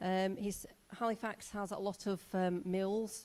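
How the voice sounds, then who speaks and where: A dark, mellow tone in a Yorkshire accent, flat and monotone throughout. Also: woman. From northern England, Yorkshire. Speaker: teacher. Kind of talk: presentation. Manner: hesitant, many fillers.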